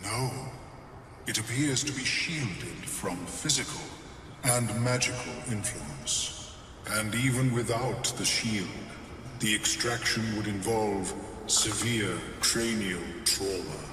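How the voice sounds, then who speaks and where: A put-on character voice from a man at medium pitch, fairly slow with long, frequent pauses, under loud background noise and clear echo. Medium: video game. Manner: clinical, detached.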